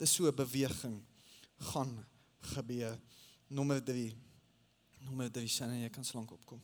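A man talks in a monotone, flat intonation at a medium pitch, with big swings in loudness. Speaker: pastor. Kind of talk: sermon. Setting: church. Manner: halting.

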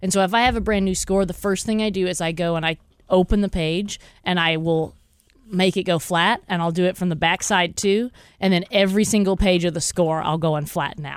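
A woman with an American accent and a plain, everyday voice, medium in pitch, fairly even in intonation, fairly quick in pace, on a very clean recording with a silent background. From Texas, small town. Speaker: orchestra conductor. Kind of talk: radio interview.

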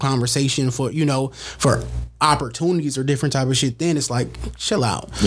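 This man has a fairly high, somewhat breathy voice with an American accent. His pitch varies in an ordinary way. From San Francisco, California. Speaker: media personality. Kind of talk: casual chat.

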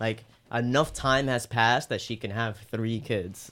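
On a very clean recording with a silent background, a man with an unremarkable speaking voice talks at a fairly slow pace and a medium pitch. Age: 20s. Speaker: podcast co-host. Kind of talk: casual chat.

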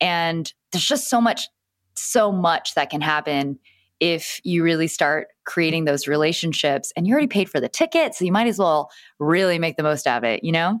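On a very clean recording with a silent background and a dry, close sound with no echo, a woman with a normal speaking voice talks at a fairly low pitch and a moderate pace, her intonation lively. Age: 30s. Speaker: Instagram expert and influencer. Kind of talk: casual interview chat.

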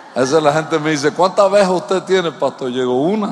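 Noticeable background noise accompanies a man's fairly high-pitched voice. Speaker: pastor. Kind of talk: sermon. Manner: animated.

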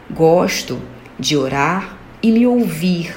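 A woman at a fairly low pitch with very wide pitch swings, amid noticeable background noise and audible room echo. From São Paulo, Brazil. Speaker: listener. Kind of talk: testimony.

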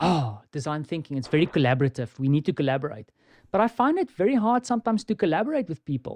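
Over a quiet background, a man with a fairly high pitch speaks very fast with very wide pitch swings, the sound dry and close with no echo. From South Africa. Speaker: experience design consultant. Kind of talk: casual chat.

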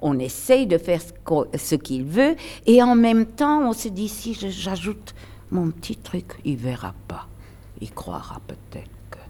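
Very slowly, a woman speaks at a medium pitch with a dark, mellow tone and very wide pitch swings. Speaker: retired stage actress. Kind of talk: interview. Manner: animated.

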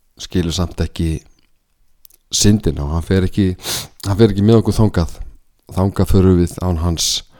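A man's very deep, low voice with a dark, mellow tone and fairly even intonation, on a very clean recording with a silent background. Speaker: lay preacher. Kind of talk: sermon.

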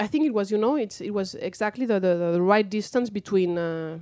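In a very clean recording with a silent background, a woman with a Spanish accent speaks in a dark, mellow tone. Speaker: author. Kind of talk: interview.

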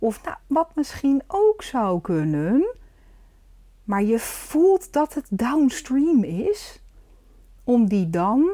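A woman talks very slowly in a dark, mellow tone. Her pitch makes big swings.

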